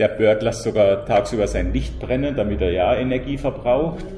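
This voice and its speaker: A man speaks in a room with audible echo, and noticeable background noise is present. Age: 50s. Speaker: freelance mobility consultant, climate coach. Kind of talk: interview. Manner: halting, with fillers.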